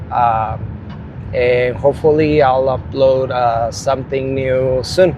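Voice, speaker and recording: A man with a Spanish accent speaks at a fairly slow pace and a medium pitch amid noticeable background noise. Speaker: rideshare driver and storyteller. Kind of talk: casual storytelling monologue. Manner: halting.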